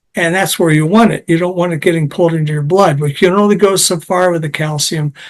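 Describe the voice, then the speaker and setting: This man's voice sits high, his intonation stays fairly even, and his words come very fast. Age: 70s. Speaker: kidney health scientist, clinical consultant. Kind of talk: interview, explaining science in plain language. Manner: halting, with repeated words and fillers.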